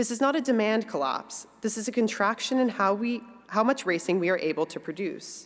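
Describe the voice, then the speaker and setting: Noticeable background noise sits behind a woman speaking at a medium pitch. Her intonation is lively. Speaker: industry executive giving a speech. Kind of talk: conference speech. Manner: fast.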